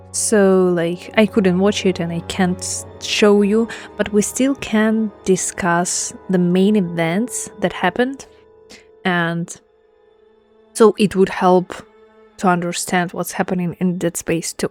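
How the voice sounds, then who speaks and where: Music plays in the background as a woman with a non-native accent speaks at a very slow pace. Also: medium pitch for a woman, fairly even intonation. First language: not English. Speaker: gaming content creator. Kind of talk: casual talk to camera.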